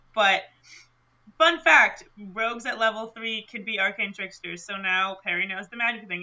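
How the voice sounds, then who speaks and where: A woman with a Michigan accent. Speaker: tabletop role-play podcast player. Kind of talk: actual-play game chat. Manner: animated.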